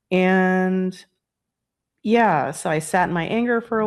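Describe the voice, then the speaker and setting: Against a quiet background, a woman talks in an ordinary speaking voice at medium pitch with ordinary pitch variation. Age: 60s. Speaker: chiropractor and energy healer. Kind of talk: casual interview chat. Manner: conversational with many fillers.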